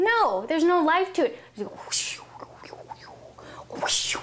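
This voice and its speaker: With an animated tone and very wide pitch swings, a woman speaks over noticeable background noise. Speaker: guitar teacher. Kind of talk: live-streamed guitar lesson. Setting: live video stream.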